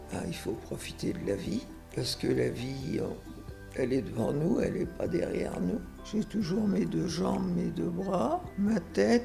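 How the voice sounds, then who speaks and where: A woman at a very slow pace, music in the background. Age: 80s+. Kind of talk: interview answer.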